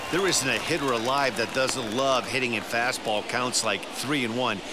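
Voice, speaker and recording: A man speaks at a moderate pace and medium pitch over noticeable background noise. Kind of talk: live baseball commentary, analysis. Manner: conversational, explanatory.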